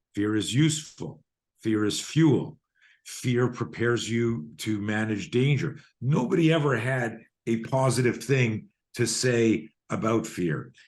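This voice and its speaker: Against a quiet background, a man with a medium pitch speaks at a fairly slow pace with lively intonation. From Canada. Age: 60s. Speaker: self-defense and fear management coach. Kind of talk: podcast interview. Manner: animated.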